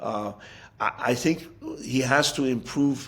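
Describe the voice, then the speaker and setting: A man is speaking with an American accent. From US (raised from childhood, Iranian-born). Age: 60s. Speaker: football coach. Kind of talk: interview. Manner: halting with fillers and repetitions.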